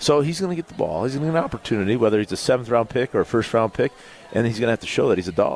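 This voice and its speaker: A man at a medium pitch, very fast pace and lively intonation, with a dry, close sound with no echo and noticeable background noise. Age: 40s. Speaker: former NFL player and football analyst. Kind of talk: casual sports talk. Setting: live show at a pub.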